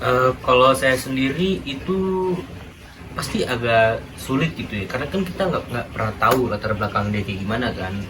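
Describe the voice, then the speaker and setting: Amid noticeable background noise and audible room echo, a man speaks at a moderate pace with a medium pitch and lively intonation. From Betawi (Jakarta), Indonesia. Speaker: interviewee, university student. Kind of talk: casual interview. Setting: student class assignment interview. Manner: casual, many filler words.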